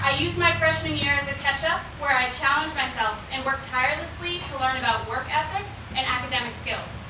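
Talking very fast with hardly any pauses, a woman uses a high pitch and ordinary pitch variation amid audible room echo and noticeable background noise. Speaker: graduating student speaker. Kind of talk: commencement speech. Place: tent.

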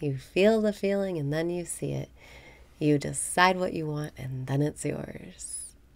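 The tone is calm and the pace fairly slow. Pitch varies in an ordinary way. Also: woman. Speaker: meditation guide. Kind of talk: guided meditation. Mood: calm, warm, smiling.

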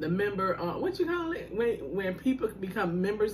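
The woman talks rather quickly, with a little noise in the background. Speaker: food vlogger. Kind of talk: casual vlog chat. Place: home room. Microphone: phone near.

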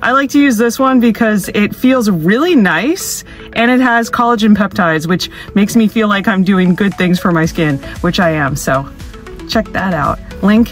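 A woman talks at a moderate pace, the sound dry with no echo. Faint music plays in the background. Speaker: travel vlogger. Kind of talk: casual vlog chat. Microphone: phone near.

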